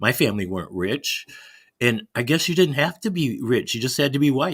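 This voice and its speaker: On a very clean recording with a silent background, a man with an American accent, fairly high pitch and vocal fry talks at a fairly quick pace with very wide pitch swings. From US Midwest, Chicago. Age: 70s. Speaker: caller, Navy veteran. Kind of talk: casual chat.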